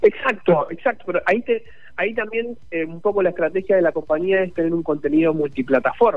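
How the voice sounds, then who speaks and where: This man's voice sits high for a man and moves at a fairly quick pace. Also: ordinary pitch variation. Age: 30s. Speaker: esports league manager. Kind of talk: radio interview. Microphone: weak signal, bad line.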